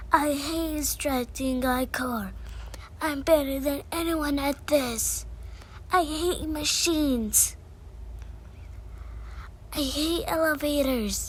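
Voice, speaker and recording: A woman puts on a grumpy character voice, high in pitch, at a very slow pace with long, frequent pauses. Clear background noise sits behind her. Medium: role play. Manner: grumpy, sulky.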